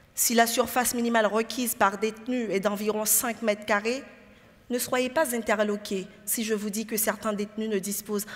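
The voice is somewhat breathy, with fairly even intonation and a moderate pace. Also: woman. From Haiti. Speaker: lawyer; lawyer in a pleading contest. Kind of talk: courtroom-style advocacy speech. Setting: stage with audience and jury. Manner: formal. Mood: grave, impassioned. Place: hall. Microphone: headset.

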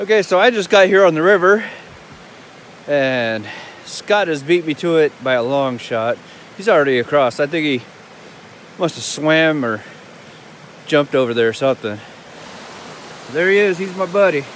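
At a moderate pace and with lively intonation, a man speaks with long, frequent pauses, the sound dry with no echo over light background noise. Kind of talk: casual vlog chat. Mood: cheerful, mildly annoyed at graffiti. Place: waterside. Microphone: phone near.

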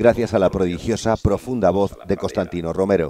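With a dark, mellow tone and fairly low pitch, a man talks at a fairly quick pace using ordinary pitch variation. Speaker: TV news reporter. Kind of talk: TV news report narration.

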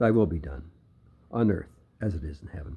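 A man's somewhat breathy voice, dark and mellow in tone, with lively intonation. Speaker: church elder leading service. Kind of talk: prayer service with scripture reading and fervent, solemn prayer. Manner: slow, reverent, earnest, hesitant with occasional repeated words; formal, solemn. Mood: solemn, devotional. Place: garden. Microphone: phone near.

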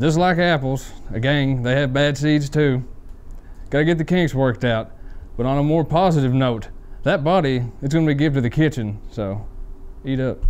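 A man speaks at a moderate pace with ordinary pitch variation, leaving long, frequent pauses. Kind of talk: comedy skit monologue. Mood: deadpan dark humor. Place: classroom.

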